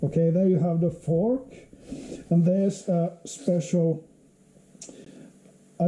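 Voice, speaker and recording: A man with a Finnish accent speaks at a fairly slow pace in a high pitch, his dark, mellow tone held in a fairly even intonation. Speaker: motorcycle hobbyist vlogger. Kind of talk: unboxing video. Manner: halting, many fillers.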